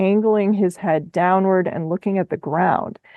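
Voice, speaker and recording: A woman with a Minnesotan accent, a medium pitch, ordinary pitch variation, and a moderate pace. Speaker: podcast host. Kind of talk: podcast conversation.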